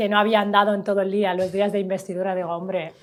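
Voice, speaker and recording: The voice belongs to a woman with a medium pitch. She speaks in a monotone, with flat intonation. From Valencia, Spain (Sahrawi refugee background). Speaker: member of parliament. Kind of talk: interview conversation.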